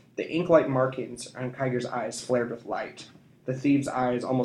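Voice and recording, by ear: Reading aloud in a natural voice is what this clip offers.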